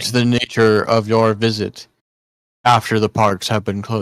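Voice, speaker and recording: Putting on a character voice, a man speaks at medium pitch and a moderate pace in a monotone, flat delivery, on a very clean recording with a silent background. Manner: monotone, droning.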